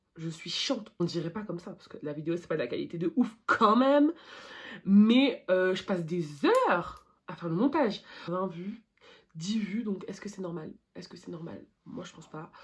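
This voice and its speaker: A woman speaks at medium pitch and a moderate pace with lively intonation and big swings in loudness. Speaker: beauty YouTuber. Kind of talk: makeup tutorial vlog. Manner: halting.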